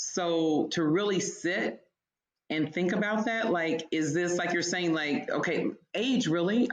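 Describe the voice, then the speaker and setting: With an ordinary speaking voice, a woman talks at a fairly low pitch and a fairly slow pace. Her intonation is lively and her loudness very even. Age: 50s. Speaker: digital creator, wellness and faith influencer. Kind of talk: podcast interview answer.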